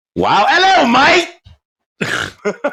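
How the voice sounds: An extremely high-pitched, put-on character voice is performed with an Australian accent.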